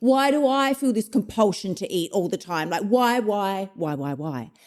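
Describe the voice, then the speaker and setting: A woman's intense voice with very wide pitch swings, on a very clean recording with a silent background. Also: medium pitch for a woman, moderate pace. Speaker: podcast host, weight loss coach. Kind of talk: motivational podcast monologue. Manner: forceful, intense.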